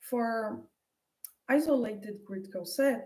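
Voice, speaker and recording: A woman's somewhat breathy, fairly high voice in a Portuguese accent, fairly slow with fairly even intonation, audible room echo around it. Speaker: mathematician. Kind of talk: lecture. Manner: halting.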